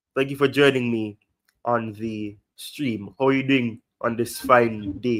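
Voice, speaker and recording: A man speaks with a strong Jamaican accent at a fairly slow pace. His pitch is medium and his intonation fairly even. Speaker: football livestream host. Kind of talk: casual livestream chat. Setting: livestream.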